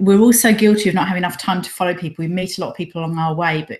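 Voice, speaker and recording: A very fast, medium-pitched woman's voice with noticeable background noise. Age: 40s. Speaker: interviewer. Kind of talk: interview.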